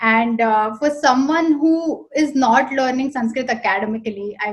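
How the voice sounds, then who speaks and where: A woman speaks in a Marathi accent with a high pitch. Her pitch varies in an ordinary way. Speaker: interviewer. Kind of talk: interview.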